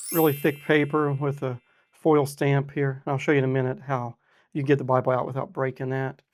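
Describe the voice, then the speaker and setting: In a very clean recording with a silent background, a man with a fairly high pitch speaks at a moderate pace in a monotone, flat intonation. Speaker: Bible review youtuber. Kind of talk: product review. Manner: casual, conversational.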